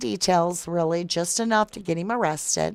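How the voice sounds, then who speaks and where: A woman at a moderate pace with lively intonation, in a very clean recording with a silent background and a dry, close sound with no echo. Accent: Southern US. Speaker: true crime livestream host. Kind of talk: casual livestream chat reading viewer comments. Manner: casual, conversational.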